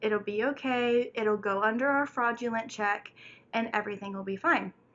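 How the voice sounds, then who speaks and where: A woman talks at a moderate pace with fairly even intonation and a fairly high pitch. She has an ordinary speaking voice. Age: 20s. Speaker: single mother and college student. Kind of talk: casual storytime talk to camera.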